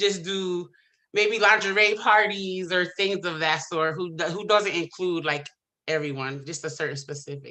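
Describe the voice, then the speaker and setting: Loud and at a medium pitch, a woman speaks in a bright, sharp tone. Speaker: small business pitch contestant, event host and cook. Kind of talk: Q&A answer; business pitch. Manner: loud, boisterous; hesitant with many fillers.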